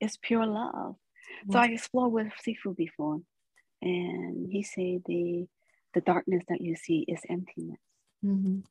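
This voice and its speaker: With long, frequent pauses, a woman speaks in a somewhat breathy voice of medium pitch and ordinary pitch variation, recorded dry and close with no echo. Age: 40s. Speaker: spiritual storyteller. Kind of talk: personal testimony.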